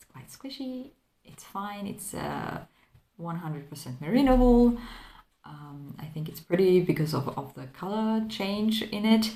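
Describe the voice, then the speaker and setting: A dark, mellow, somewhat breathy voice with a non-native accent moves at a fairly slow pace in audible room echo. Its pitch swings very widely and its loudness rises and falls sharply. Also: woman, medium pitch for a woman. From Croatia. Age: 30s. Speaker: crafting vlogger. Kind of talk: casual chat. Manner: halting.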